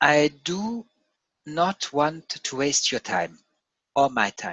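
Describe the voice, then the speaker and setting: This speaker has a non-native accent and a very slow pace. The background is quiet. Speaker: crypto trading analyst. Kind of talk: reading aloud from a written text; casual chat. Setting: screen share video. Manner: halting, with repetitions and self-corrections.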